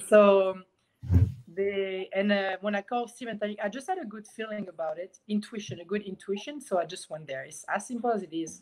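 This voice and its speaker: A woman at a medium pitch, with a French accent. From France. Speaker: professional swimmer. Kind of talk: casual chat.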